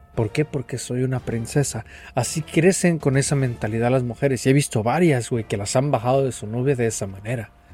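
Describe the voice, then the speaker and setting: A man in a Mexican accent speaks at a fairly quick pace and medium pitch, with music in the background. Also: ordinary pitch variation. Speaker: podcast host. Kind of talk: casual chat.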